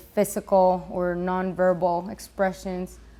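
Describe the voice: At a fairly slow pace, a woman speaks in a fairly low voice with a slightly mellow tone.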